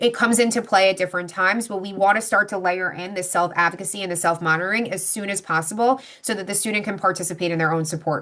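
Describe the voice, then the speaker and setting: A woman at medium pitch, talking at a very fast pace with hardly any pauses and fairly even intonation. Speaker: psychologist presenting on behavior plans. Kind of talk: webinar presentation with Q&A.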